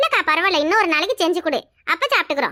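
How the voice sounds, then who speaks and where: In a squeaky, cartoonish character voice, the speaker races along at a very fast pace with lively intonation and a dry, close sound with no echo. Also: woman, extremely high pitch for a woman. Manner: polite, respectful.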